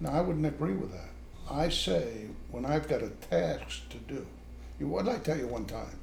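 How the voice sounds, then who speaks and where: Audible echo from the room surrounds a man talking at a moderate pace. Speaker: retired army officer. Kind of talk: family conversation.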